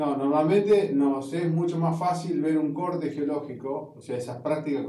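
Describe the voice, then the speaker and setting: Audible room echo surrounds a man speaking. He keeps a moderate pace with ordinary pitch variation. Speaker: university geology lecturer. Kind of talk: lecture.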